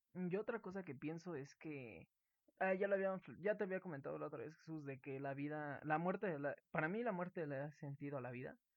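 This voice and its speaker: Here a man speaks with a Mexican accent in a fairly high pitch. His pace is fairly quick, and his pitch varies in an ordinary way. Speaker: student podcast co-host. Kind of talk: casual chat.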